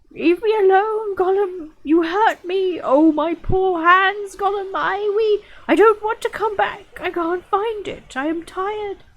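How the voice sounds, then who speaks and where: In a put-on character voice at an extremely high pitch, the speaker goes at a fairly slow pace with hardly any pauses. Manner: sobbing, choked in the throat.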